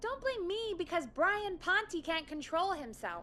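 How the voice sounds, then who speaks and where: A woman does a put-on character voice, squeaky and extremely high, with very wide pitch swings at a moderate pace. Clear background noise runs underneath. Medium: video game.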